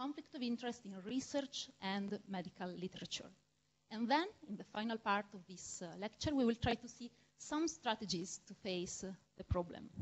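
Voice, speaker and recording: Speaking in a strong Italian accent at a moderate pace, a woman with a fairly high pitch sounds somewhat breathy and swings widely in loudness. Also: lively intonation. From Italy. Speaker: medical researcher and lecturer. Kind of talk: lecture. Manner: halting, with frequent fillers.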